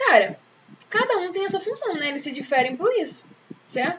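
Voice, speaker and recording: Lively intonation marks a woman's speech over noticeable background noise. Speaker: teacher. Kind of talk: lecture. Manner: fast; animated.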